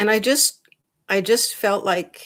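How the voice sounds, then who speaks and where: A woman talks at a very slow pace with a medium pitch. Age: 70s. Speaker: interview guest, independence advocate. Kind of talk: interview. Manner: halting.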